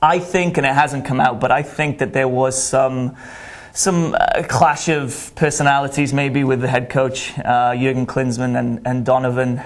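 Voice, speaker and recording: A man with a Welsh accent, medium pitch, fairly even intonation and a moderate pace. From Wales. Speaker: college soccer coach. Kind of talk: sports interview. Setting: studio.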